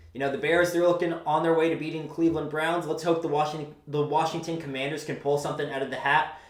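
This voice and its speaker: Amid noticeable background noise and audible room echo, a man talks very fast at a fairly high pitch with hardly any pauses. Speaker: sports fan commentator. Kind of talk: sports rant. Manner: animated.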